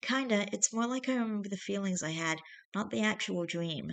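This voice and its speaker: Using a put-on character voice, a female-sounding speaker talks at a medium pitch and a fairly quick pace. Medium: read story.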